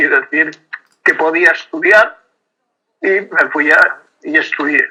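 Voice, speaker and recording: A man speaks with a Castilian accent. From Castile, Spain. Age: 90s. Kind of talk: interview. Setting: WhatsApp call.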